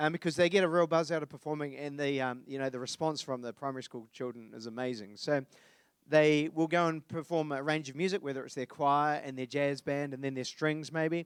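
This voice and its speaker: A man with a New Zealand accent, fairly high pitch, fairly quick pace and fairly even intonation in a dry, close sound with no echo. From New Zealand, Dunedin. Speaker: concert presenter. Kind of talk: event presenting to live audience. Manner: casual, many fillers.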